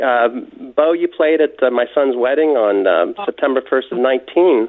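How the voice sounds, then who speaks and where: The pace is moderate. It is a man talking. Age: 60s. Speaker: caller. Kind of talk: phone-in call to radio show. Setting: phone call.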